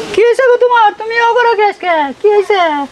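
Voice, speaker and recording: In a put-on character voice, the speaker talks very fast at an extremely high pitch. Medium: short film. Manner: concerned, repeating questions.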